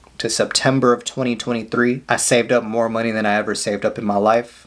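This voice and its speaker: In an American accent, a man talks at a moderate pace with an unremarkable speaking voice at medium pitch. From California. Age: 30s. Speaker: self-improvement vlogger. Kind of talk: casual vlog monologue. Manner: casual, conversational.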